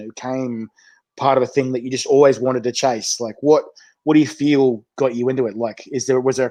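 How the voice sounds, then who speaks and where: A man's medium-pitched voice with a dark, mellow tone, in an Australian accent. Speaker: chilli show host. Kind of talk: casual interview. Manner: fast.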